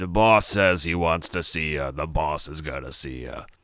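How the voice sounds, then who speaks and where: In a put-on character voice, a man speaks at a moderate pace with a very deep, low, raspy pitch, ordinary pitch variation and big swings in loudness. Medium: read story. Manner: gruff, sardonic, streetwise.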